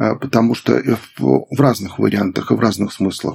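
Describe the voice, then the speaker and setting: This man has an ordinary speaking voice, medium in pitch and moderate in pace. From Belarus. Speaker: gerontologist, medical professor. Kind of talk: interview, expert conversation.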